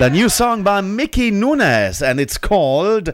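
His pitch swings very widely. The man talks at a fairly slow pace. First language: not English, learned it from 1979 on. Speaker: radio host. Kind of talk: radio show presenting.

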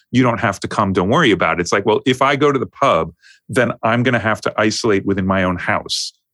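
A man with a New York accent talks at a very fast pace, medium in pitch with ordinary variation. The recording is very clean, with a silent background and a dry, close sound with no echo. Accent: New York American. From US, New York. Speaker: music producer and mix engineer. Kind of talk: casual interview chat.

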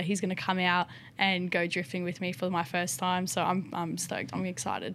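A woman speaks at a medium pitch with an Australian accent. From rural South Australia. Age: 20s. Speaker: motocross rider and paraplegic drift car builder. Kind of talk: casual interview.

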